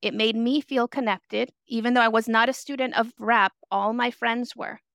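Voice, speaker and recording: At a moderate pace, a woman with a fairly high pitch speaks in a monotone, flat way, the sound dry and close with no echo on a very clean recording with a silent background. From San Francisco Mission District, born in El Salvador. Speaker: therapist. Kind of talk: interview.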